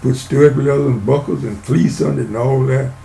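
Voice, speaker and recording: Amid audible room echo, a man with an American accent and medium pitch talks at a fairly quick pace with ordinary pitch variation. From Louisiana and Southeast Texas. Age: 90s. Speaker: retired ranch foreman. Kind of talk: interview storytelling. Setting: podcast recording. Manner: casual, folksy.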